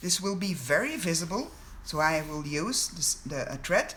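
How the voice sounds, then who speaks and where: The speech moves at a fairly slow pace. It comes in a Flemish accent. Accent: Belgian Dutch (Flemish) accent in English. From Belgium (Flanders). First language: Dutch. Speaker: sewing pattern designer. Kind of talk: tutorial. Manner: halting.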